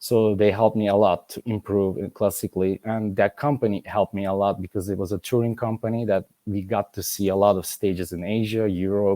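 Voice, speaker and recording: A dark, mellow tone in a Turkish accent, fairly quick with hardly any pauses, monotone and flat in intonation, dry and close with no echo. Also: man, fairly low pitch for a man, very clean recording, silent background. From Turkey. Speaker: ballet master and former principal dancer. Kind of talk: interview conversation. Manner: halting.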